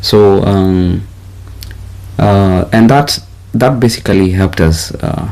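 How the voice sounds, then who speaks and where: Fairly low male voice at a very slow pace, with long, frequent pauses, ordinary pitch variation and noticeable background noise. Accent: Kenyan. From Kenya. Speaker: YouTube channel host. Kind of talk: casual couple chat. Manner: halting.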